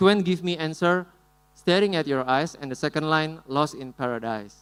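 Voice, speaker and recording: With an Indonesian accent, a man speaks at a fairly high pitch with ordinary pitch variation. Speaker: musician. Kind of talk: conference talk with live demo.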